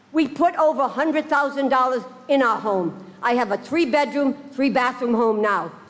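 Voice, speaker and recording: Over noticeable background noise, a woman speaks in a high pitch with lively intonation. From Rhode Island. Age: 70s. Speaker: resident speaking at public hearing. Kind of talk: public comment testimony. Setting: town council meeting.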